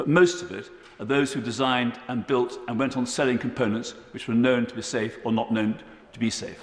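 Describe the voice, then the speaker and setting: A man speaks fairly quickly, with audible room echo around his voice. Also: ordinary pitch variation. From England. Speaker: member of parliament. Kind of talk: parliamentary debate speech. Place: hall. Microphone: podium.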